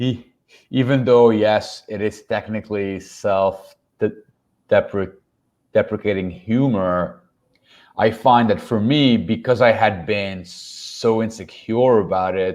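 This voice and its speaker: The man's pitch sits fairly low, and he speaks at a very slow pace. The background is quiet. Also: ordinary pitch variation. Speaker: stand-up comedian. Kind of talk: interview answer.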